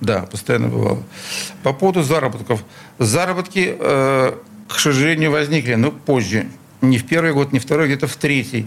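A man at medium pitch speaks with lively intonation and very even loudness at a moderate pace, with long, frequent pauses. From Sызрань, Volga region, Russia; raised in Leningrad from age 8. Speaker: concert promoter. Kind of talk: interview. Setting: radio studio.

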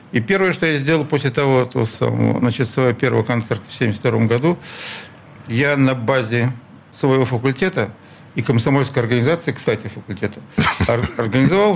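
Over noticeable background noise, a man talks at a moderate pace at a medium pitch, his intonation lively. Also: long, frequent pauses. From Sызрань, Volga region, Russia; raised in Leningrad from age 8. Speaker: concert promoter. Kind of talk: interview. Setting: radio studio.

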